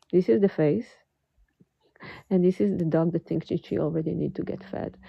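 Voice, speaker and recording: A soft-spoken woman talks with an American accent. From California. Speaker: watercolor art teacher. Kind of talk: live painting tutorial. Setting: home art studio, livestream. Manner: slow.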